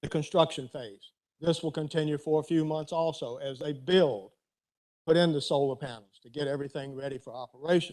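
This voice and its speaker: Here is a man with an ordinary speaking voice and a fairly high pitch. He keeps a moderate pace and fairly even intonation. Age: 60s. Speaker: resident speaking at public comment. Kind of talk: public comment at county board meeting. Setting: county board meeting room.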